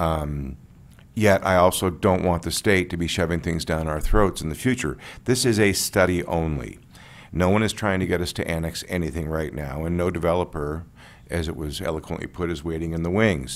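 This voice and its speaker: A man's very deep, low voice with vocal fry. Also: ordinary pitch variation, fairly quick pace. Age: 60s. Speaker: planning commissioner. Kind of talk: public meeting deliberation.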